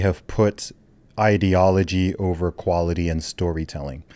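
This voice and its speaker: Pitched very deep and low, a man talks with ordinary pitch variation in a dry sound with no echo. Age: 30s. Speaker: podcast host. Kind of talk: casual chat. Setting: studio. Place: studio. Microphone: studio mic.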